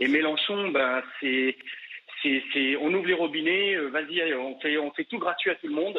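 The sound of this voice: This man's voice sits fairly high and carries a slightly husky edge. He speaks at a moderate pace with ordinary pitch variation.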